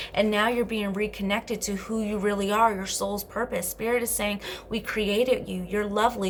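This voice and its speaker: Fairly quick speech from a woman over noticeable background noise. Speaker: tarot card reader. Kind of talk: tarot reading. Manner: fast; animated.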